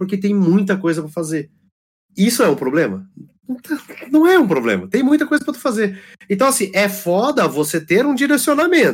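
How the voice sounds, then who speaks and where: Here a man speaks at a fairly quick pace and a high pitch. His pitch swings very widely. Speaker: gamer and community guest. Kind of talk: casual chat. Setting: online call.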